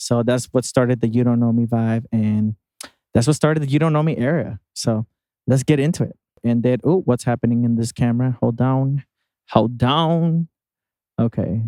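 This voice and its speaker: Dry and close with no echo, a man's dark, mellow voice moves at a moderate pace and medium pitch with ordinary pitch variation. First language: not English. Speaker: podcast host, singer-producer. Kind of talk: casual vlog-style podcast talk. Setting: outdoors outside a concert venue. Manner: animated, chatty with self-corrections.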